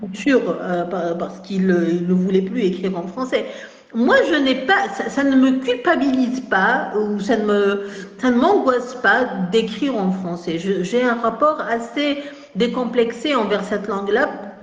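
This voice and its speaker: Amid audible room echo and noticeable background noise, a woman with a fairly high pitch uses lively intonation at a fairly slow pace. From Algeria, Kabylie. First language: Kabyle mixed with French (speaking French). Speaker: writer and academic. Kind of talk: interview. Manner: halting, many hesitations.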